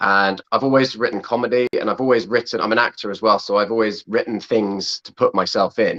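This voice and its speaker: A medium-pitched man with an English accent, bright, sharp tone and fairly even intonation, fairly quick with hardly any pauses, in a dry, close sound with no echo. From England. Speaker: film director and actor. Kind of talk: interview. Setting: video call.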